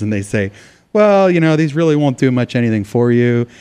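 A man's dark, mellow voice with a General American accent, fairly quick in pace, against a quiet background. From Arizona. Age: 40s. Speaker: political activist, military veteran. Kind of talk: interview. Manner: animated.

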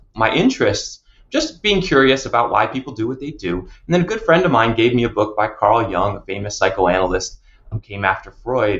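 A man with an American accent and an unremarkable speaking voice, medium in pitch, with lively intonation at a fairly quick pace. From New Jersey. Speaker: psychologist and university counseling director. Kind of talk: podcast interview.

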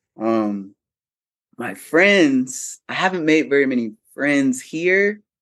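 The speech moves at a very slow pace, with lively intonation. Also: man. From Ohio, US (Cincinnati). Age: 30s. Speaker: veteran, activist, model and drag king. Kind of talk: casual interview chat.

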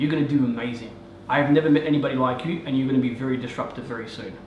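Talking very fast in an Australian accent, a man with a fairly high voice is heard amid noticeable background noise and audible room echo. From Afghanistan. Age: 30s. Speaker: real estate agent. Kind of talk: interview. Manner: energetic.

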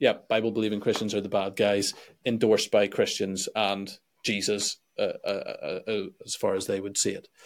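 A man with a Northern Irish accent speaks at a moderate pace in a very clean recording with a silent background. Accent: Northern Irish (Belfast). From Northern Ireland, Belfast. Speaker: pastor and YouTuber. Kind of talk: interview conversation.

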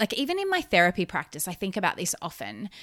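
A woman with an Australian accent speaks in a bright, sharp tone with very wide pitch swings. The sound is dry and close, with no echo. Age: 30s. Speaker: podcast host, therapist and business coach. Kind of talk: solo podcast monologue. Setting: recorded while travelling abroad.

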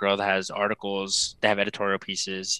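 With an American accent, a man speaks in a bright, sharp tone, the sound dry and close with no echo. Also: very clean recording, silent background. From South Texas. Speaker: fashion writer and podcaster. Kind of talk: interview.

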